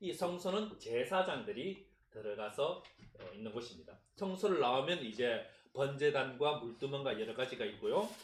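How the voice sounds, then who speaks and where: Somewhat breathy and at a moderate pace, a man's voice swings very widely in pitch amid audible room echo. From Gyeongsang region, South Korea. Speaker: pastor. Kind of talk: sermon.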